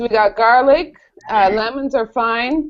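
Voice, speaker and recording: The pace here is fairly slow, and pitch variation is ordinary. It is a normal speaking voice. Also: woman. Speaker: college professor. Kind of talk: online homework help session. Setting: video call.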